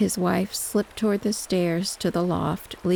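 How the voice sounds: The reading voice sounds natural, its intonation fairly even.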